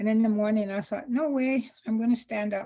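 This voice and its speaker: Her voice has a somewhat breathy quality. The woman's intonation stays fairly even. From Saskatchewan, Canada (Saskatoon; Métis). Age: 80s+. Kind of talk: storytelling. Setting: video call. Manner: halting, with repetitions.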